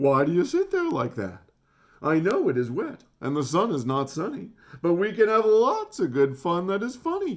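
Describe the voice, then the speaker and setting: At a moderate pace, a man puts on a character voice with a high pitch. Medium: read story. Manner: showy, playful.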